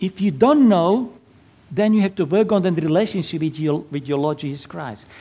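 The pitch of this man's voice sits high. He keeps a moderate pace. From Slovakia. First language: Slovak. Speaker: Lutheran pastor and navy chaplain. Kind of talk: sermon. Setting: church.

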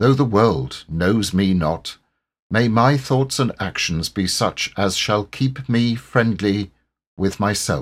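In a very clean recording with a silent background, a man with a fairly low pitch speaks very slowly in a calm, gentle tone with lively intonation. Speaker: poem reader. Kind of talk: reading aloud a poem as a solemn, heartfelt prayer. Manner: slow, calm and gentle, reverent and tender.

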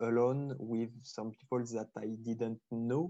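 Very slowly, a man speaks in a dark, mellow tone at a medium pitch, his intonation monotone and flat. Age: 20s. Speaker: wine enthusiast. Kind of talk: casual interview. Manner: halting, with frequent hesitations and repetitions.

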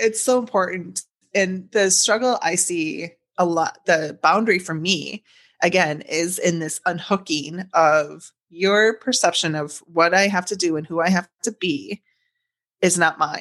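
Against a quiet background, a woman speaks in a plain, everyday voice at a fairly low pitch and fairly slow pace with ordinary pitch variation. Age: 40s. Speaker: author and publisher. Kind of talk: casual interview.

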